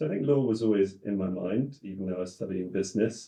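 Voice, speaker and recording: A man with an English accent speaks in a fairly low pitch with a dark, mellow tone. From England, partly raised in Australia and the US. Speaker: in-house lawyer. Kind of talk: podcast interview.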